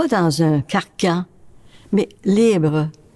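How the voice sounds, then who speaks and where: A woman's voice with lively intonation. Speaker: nun. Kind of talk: interview testimony.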